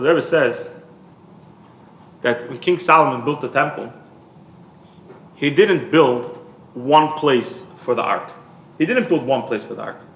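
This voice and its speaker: With lively intonation and big swings in loudness, this voice moves at a fairly slow pace through long, frequent pauses, with audible room echo around it. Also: man. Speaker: rabbi. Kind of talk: lecture. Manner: repetitive, halting.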